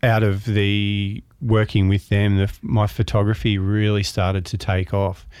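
With an Australian accent, a man speaks very slowly in a fairly low, flat, monotone voice. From Melbourne, Australia. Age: 50s. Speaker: photographer and author. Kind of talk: interview.

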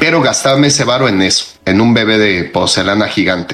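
Over noticeable background noise and audible room echo, a man with a Mexican accent speaks at a moderate pace. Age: 30s. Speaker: podcast co-host. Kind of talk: casual chat.

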